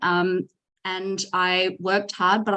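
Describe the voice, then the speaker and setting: In an Australian accent, a woman is talking. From Australia (Sydney). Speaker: data leader and company founder. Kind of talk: podcast interview. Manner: conversational with frequent fillers.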